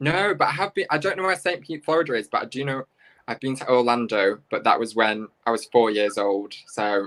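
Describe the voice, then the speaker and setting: With a British accent, this voice moves along at a fairly quick pace. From northern England, Manchester. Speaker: drag performer. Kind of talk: casual chat. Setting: video call from a friend's apartment.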